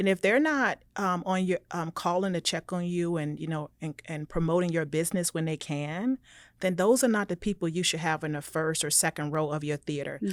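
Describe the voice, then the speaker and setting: Speaking at a fairly quick pace with hardly any pauses, a woman with an American accent has a fairly low pitch and ordinary pitch variation. The recording is very clean with a silent background and a dry, close sound with no echo. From Florida, US South. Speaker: entrepreneur and business coach. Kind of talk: podcast interview. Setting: studio. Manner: animated.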